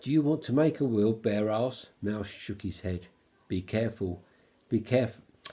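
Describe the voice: This clip is plain reading aloud from start to finish.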